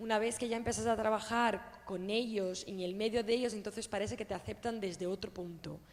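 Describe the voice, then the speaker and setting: Fairly quick, monotone speech with flat intonation in a Portuguese accent, over noticeable background noise. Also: woman. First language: Portuguese (speaking Spanish). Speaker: audience member asking a question. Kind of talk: question at a public talk.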